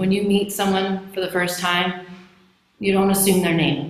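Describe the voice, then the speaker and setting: Audible room echo and noticeable background noise surround a woman with a fairly low pitch and monotone, flat intonation. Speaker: lay service leader. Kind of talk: testimony. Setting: church service.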